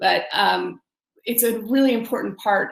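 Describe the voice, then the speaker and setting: A woman with vocal fry speaks at a moderate pace. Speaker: sales leader. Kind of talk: conference panel talk. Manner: hesitant, many filler ums and repetitions.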